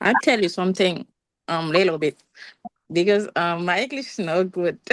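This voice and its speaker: With a Haitian accent, a woman speaks at a medium pitch with ordinary pitch variation. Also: moderate pace. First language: Haitian Creole. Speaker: student. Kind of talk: class question. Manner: halting.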